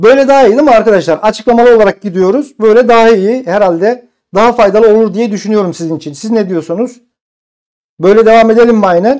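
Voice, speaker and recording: A man speaks with a high-pitched voice. His pitch varies in an ordinary way, and he talks very fast. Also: quiet background. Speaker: exam prep instructor. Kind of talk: live stream tutorial. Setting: live stream. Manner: conversational. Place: home room. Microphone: lapel.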